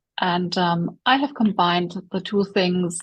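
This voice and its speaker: A woman speaks somewhat breathily at a fairly slow pace with ordinary pitch variation. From Germany. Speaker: coach and speaker. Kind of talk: interview. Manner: halting.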